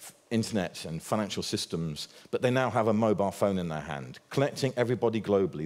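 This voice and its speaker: The speech moves at a very fast pace with very wide pitch swings. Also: man. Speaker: conference speaker on fintech. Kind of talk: conference talk.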